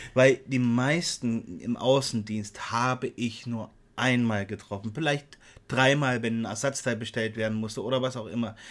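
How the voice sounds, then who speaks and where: A man speaks at a moderate pace in a medium-pitched voice. His intonation stays fairly even. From Saxony, eastern Germany. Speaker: podcast co-host. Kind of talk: casual chat. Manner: hesitant, many filler sounds.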